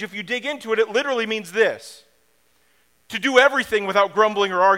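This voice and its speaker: A man with a high pitch speaks in a raised, projected voice. His tone is bright and sharp, with ordinary pitch variation and a fairly quick pace. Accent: American. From US Midwest, downstate Illinois. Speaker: pastor. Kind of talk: sermon.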